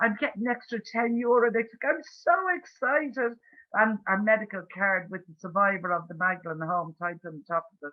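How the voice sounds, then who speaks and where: Speaking at a fairly quick pace, a woman with an Irish accent uses a fairly high pitch and lively intonation. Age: 60s. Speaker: campaigner for institutional abuse survivors. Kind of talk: webinar Q&A discussion.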